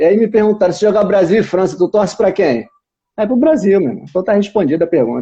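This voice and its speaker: A man's fairly quick delivery, high in pitch, with a dark, mellow tone. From Brazil. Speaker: channel host. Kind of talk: casual interview. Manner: animated.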